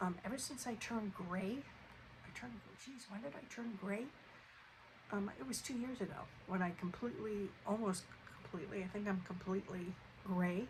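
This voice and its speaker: Against noticeable background noise, a woman at medium pitch speaks at a moderate pace with ordinary pitch variation and long, frequent pauses. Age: 60s. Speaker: lifestyle vlogger. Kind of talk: casual vlog monologue. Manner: hesitant, many fillers.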